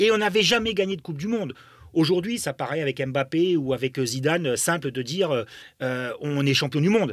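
A man talks at a fairly quick pace with lively intonation, in a dry sound with no echo and a quiet background. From Germany. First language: German (speaking French). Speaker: former footballer and football pundit. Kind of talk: interview storytelling. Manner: halting with many fillers. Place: studio. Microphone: studio mic.

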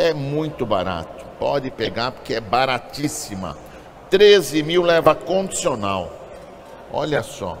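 Speaking at a very slow pace, a man with a fairly high pitch makes very wide pitch swings over light background noise. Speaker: auctioneer. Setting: auction hall with live and online bidders. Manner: upbeat salesman patter, hyping lots. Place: market. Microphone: phone near.

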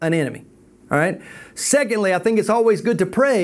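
The speaker gives a plain reading aloud with lively intonation.

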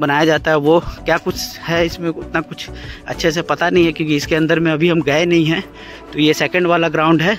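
Faint music plays behind a man whose high pitch and monotone, flat intonation come through at a moderate pace in a dry sound with no echo. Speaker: travel vlogger. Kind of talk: casual vlog chat. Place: street. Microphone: earbuds.

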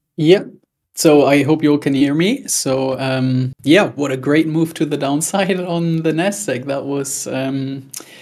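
The pace is fairly slow. The background is quiet. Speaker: trading coach. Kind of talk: live trading commentary. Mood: calm, pleased.

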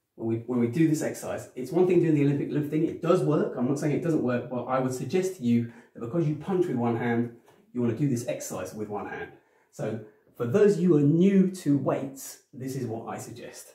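A man talks at a fairly quick pace with audible room echo and a quiet background. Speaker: personal trainer. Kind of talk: tutorial. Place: home room. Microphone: camera far.

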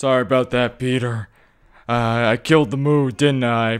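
Putting on a character voice, a man sounds gruff at a medium pitch. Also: moderate pace. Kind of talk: comic overacting. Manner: gruff, aggressive.

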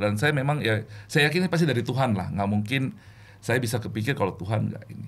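A man speaks with lively intonation. There is vocal fry in his voice. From Indonesia, born in Makassar; Indonesia. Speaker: regional sales manager. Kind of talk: testimony. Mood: warm, reflective faith story. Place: studio. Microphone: studio mic.

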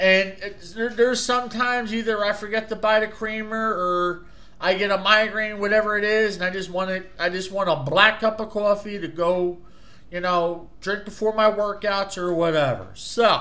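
A man's raised, projected voice, high-pitched with a bright, sharp tone, in a New Jersey accent at a moderate pace. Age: 40s. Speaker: YouTube product reviewer; product reviewer. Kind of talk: casual video review; casual vlog chat. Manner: animated. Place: home room. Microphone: webcam.

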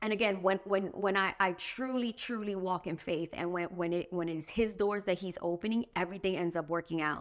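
Against a quiet background, a woman with an American accent talks at a moderate pace with fairly even intonation. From New York. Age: 40s. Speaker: homeowner sharing her story. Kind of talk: casual interview. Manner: halting. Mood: earnest, emotional personal story. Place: home room.

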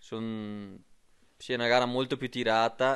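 Against a quiet background, a man speaks very slowly in a flat monotone at medium pitch. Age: 30s. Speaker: cross-country skier. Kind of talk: interview. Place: home room. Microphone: handheld.

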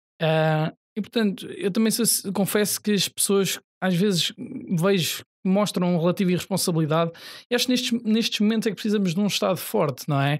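This man talks at a fairly quick pace with a high pitch, in a very clean recording with a silent background. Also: ordinary pitch variation, very even loudness. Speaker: party youth politician. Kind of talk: political debate.

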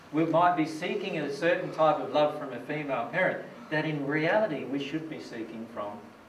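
A man talks at a moderate pace over light background noise, with audible room echo. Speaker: presenter. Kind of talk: lecture. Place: hall.

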